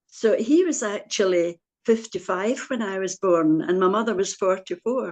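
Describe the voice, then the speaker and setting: A woman with a Scottish accent, medium in pitch, at a moderate pace with ordinary pitch variation. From Scotland, Glasgow area (Busby, Newton Mearns). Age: 90s. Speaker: churchgoer interviewee. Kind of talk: interview. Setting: video call.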